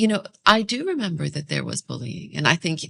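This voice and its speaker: A woman speaks with vocal fry. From UAE (early years Iraq, Australia). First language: Arabic. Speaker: podcast host. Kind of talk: casual interview conversation. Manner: hesitant, many fillers.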